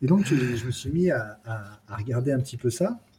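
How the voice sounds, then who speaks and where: Somewhat breathy and dark, mellow in tone, a man of medium pitch speaks with ordinary pitch variation in a very clean recording with a silent background. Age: 40s. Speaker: basketball podcaster and streamer. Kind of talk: casual chat. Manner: halting, many hesitations.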